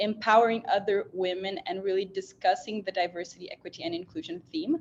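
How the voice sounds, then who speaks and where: In a Portuguese accent, a woman speaks at medium pitch against a quiet background. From Brazil. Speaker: panel moderator. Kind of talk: panel discussion moderation.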